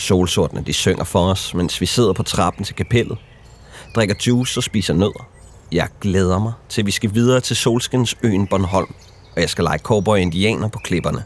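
A man talks at a moderate pace with a fairly low pitch and ordinary pitch variation. His is an unremarkable speaking voice. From Denmark. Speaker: documentary narrator. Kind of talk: scripted narration.

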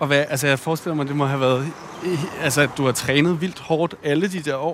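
A man's fairly high voice at a fairly quick pace, fairly even in intonation, over noticeable background noise. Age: 30s. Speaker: podcast host. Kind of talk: casual conversation. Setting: outdoors, walking.

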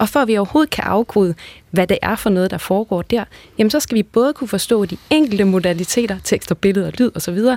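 With a plain, everyday voice, a woman speaks at a medium pitch and fairly quick pace with lively intonation, recorded dry and close with no echo. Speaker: language researcher. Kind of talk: radio panel discussion. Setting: studio.

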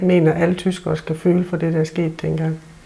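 Here a woman speaks at a moderate pace. Her intonation is monotone and flat. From Southern Jutland, Denmark. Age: 50s. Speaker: member of German minority. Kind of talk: interview.

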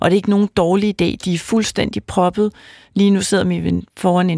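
A woman talks at a moderate pace with a dry, close sound with no echo. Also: very clean recording, silent background. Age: 50s. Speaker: fertility doctor and professor. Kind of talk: expert interview.

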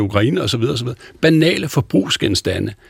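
A somewhat breathy man at a fairly slow pace, his intonation lively. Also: dry, close sound with no echo. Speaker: debate panelist. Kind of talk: radio debate. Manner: animated.

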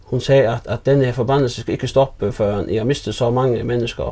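A man talks at a moderate pace with ordinary pitch variation. His dark, mellow tone carries vocal fry. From Faroe Islands, Runavík. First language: Faroese (speaking Danish). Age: 40s. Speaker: fishing vessel owner. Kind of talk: casual interview. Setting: at home in an old house. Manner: halting, repeated words.

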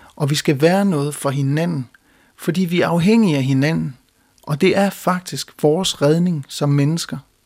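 A man speaks at a fairly slow pace with a fairly high pitch and ordinary pitch variation, in a plain, everyday voice. The recording is very clean, with a silent background. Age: young. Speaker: hymn writer and composer. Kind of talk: talk introducing his hymn.

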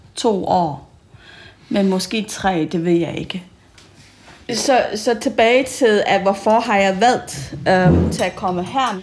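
At a very slow pace, a woman with a non-native accent speaks at a medium pitch. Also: ordinary pitch variation. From Malaysia. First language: not Danish (speaking Danish). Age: 40s. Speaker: school teacher. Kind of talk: interview.

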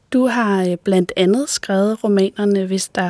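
Her voice dark and mellow at a medium pitch, a woman talks at a very slow pace with ordinary pitch variation, captured with a dry, close sound and no echo. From Denmark, northwest Zealand. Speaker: screenwriter and podcast host. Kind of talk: interview conversation; scripted narration.

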